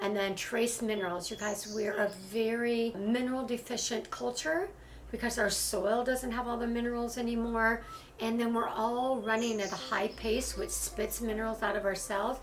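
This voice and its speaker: Over noticeable background noise and audible room echo, a woman with a fairly high pitch speaks at a moderate pace with fairly even intonation. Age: 60s. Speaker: wellness and beauty content creator. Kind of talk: voiceover tutorial.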